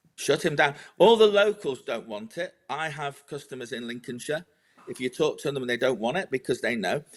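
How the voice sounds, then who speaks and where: In a British accent, a man speaks at a moderate pace with lively intonation and a fairly high pitch, on a very clean recording with a silent background. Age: 60s. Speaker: agricultural policy adviser. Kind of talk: political discussion. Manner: animated; halting.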